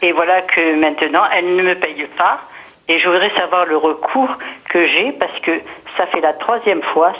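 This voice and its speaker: A woman's fairly low voice with ordinary pitch variation at a fairly slow pace, long, frequent pauses and noticeable background noise. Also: very even loudness. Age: 70s. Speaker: caller. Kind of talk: phone call-in question. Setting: phone call. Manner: halting.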